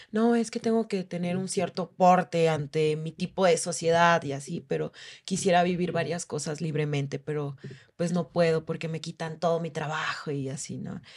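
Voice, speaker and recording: A woman speaks at a moderate pace in a fairly low voice, her intonation fairly even. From Oaxaca, Mexico. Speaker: stripper and sex worker rights activist. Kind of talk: interview storytelling.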